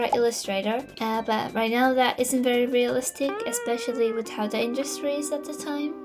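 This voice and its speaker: With music in the background, a woman talks at a fairly quick pace in a high pitch with fairly even intonation. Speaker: digital artist and YouTuber. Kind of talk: casual Q&A monologue. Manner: halting, with frequent uh fillers.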